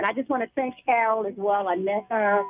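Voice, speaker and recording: At a moderate pace, a woman talks in a plain, everyday voice with a fairly high pitch. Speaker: caller. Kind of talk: call-in question. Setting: phone call.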